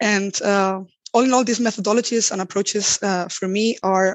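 In a Spanish accent, a woman speaks at a moderate pace with medium pitch and fairly even intonation. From Spain. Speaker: accessibility designer. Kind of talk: interview.

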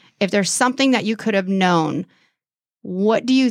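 The speaker has an American accent and ordinary pitch variation at a moderate pace. The recording is very clean, with a silent background. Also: woman. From California. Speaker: podcast host and business owner. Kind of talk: casual interview.

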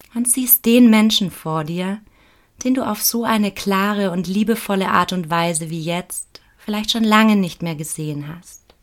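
A woman with an unremarkable speaking voice, medium pitch, ordinary pitch variation and a fairly slow pace. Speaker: meditation guide. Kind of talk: guided meditation. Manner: slow, calm, soothing; soft-spoken, gentle, with long pauses.

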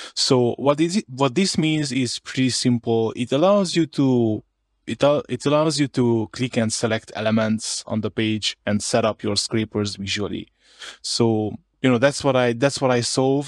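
A man with a Hungarian accent at medium pitch and moderate pace, with ordinary pitch variation, in a very clean recording with a silent background and a dry, close sound with no echo. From Romania, Harghita county (Hungarian-speaking). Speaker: indie developer, entrepreneur. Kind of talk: interview. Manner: repeats words, halting.

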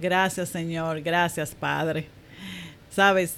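A woman's medium-pitched voice at a very slow pace. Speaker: banking professional. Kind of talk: testimony.

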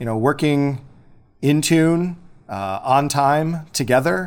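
A fairly high-pitched man with a Midwestern American accent and lively intonation. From US Midwest, Illinois. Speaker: high school English teacher and testing coordinator. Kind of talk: interview.

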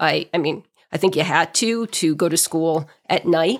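It's a plain, everyday voice: a woman with an American accent and ordinary pitch variation. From New England (outside Boston). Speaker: mayor. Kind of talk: casual interview.

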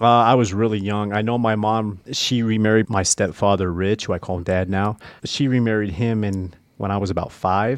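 A man with an American accent, a plain, everyday voice, fairly low pitch, fairly even intonation and a moderate pace. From US Midwest, Nebraska. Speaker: former prisoner sharing testimony. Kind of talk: testimony.

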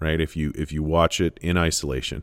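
The recording is very clean with a silent background. A man with a Canadian accent speaks at a moderate pace with vocal fry. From Canada. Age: 40s. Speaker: podcaster on literature and film. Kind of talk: solo monologue review. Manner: casual, conversational.

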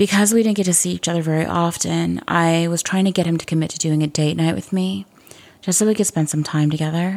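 Pitch moves in an ordinary way in this a plain, everyday voice. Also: woman. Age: 40s. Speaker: podcast host. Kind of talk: personal monologue.

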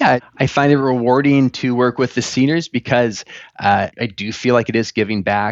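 An unremarkable speaking voice from a man, with a medium pitch, fairly even intonation and a moderate pace. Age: 30s. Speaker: photographer and filmmaker. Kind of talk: interview.

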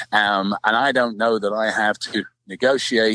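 Speaking with a London accent, a man delivers his lines in a fairly low pitch with a bright, sharp tone, monotone, flat intonation, and a dry, close sound with no echo. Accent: British English, London. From London, England. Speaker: political candidate, former soccer player. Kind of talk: interview conversation.

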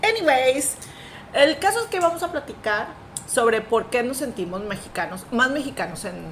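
An animated woman's voice, high-pitched with very wide pitch swings and big swings in loudness, at a moderate pace over noticeable background noise. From Mexico. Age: 40s. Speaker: podcast co-host. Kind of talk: casual chat.

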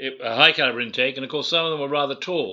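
Against a quiet background, a man with a bright, sharp tone speaks very fast at medium pitch. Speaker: guest, son of a general. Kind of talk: interview chat. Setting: remote recording from Scotland. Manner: hesitant, fillers.

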